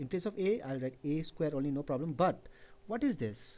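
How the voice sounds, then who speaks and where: A man's fairly high, dark and mellow voice, with lively intonation at a very fast pace. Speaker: physics teacher. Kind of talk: lecture.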